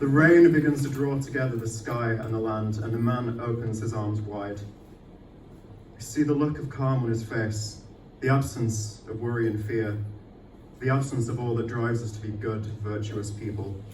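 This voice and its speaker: Noticeable background noise sits behind a man's medium-pitched voice. He speaks at a moderate pace with fairly even intonation. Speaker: poet. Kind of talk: poetry reading. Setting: live event venue.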